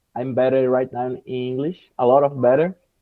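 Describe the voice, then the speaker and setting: A man speaks with a Brazilian accent. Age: 20s. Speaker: English learner, video editor and jiu-jitsu teacher. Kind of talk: casual interview. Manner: slow; halting.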